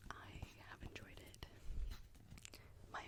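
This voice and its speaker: A woman is whispering. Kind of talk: ASMR whispered perfume review talking to camera. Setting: studio, close microphone. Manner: whispered, soft-spoken.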